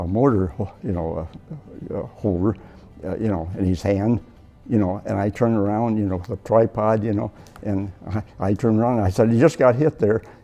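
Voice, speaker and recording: With an American accent, a man talks at a fairly quick pace and fairly low pitch, with ordinary pitch variation and music in the background. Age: 80s+. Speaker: war veteran. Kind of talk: interview answer.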